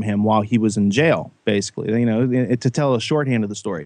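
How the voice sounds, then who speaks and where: Recorded with a dry, close sound and no echo, a man has an ordinary speaking voice at a medium pitch with ordinary pitch variation. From Western Pennsylvania. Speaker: guest, whistleblower and podcaster. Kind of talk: podcast discussion.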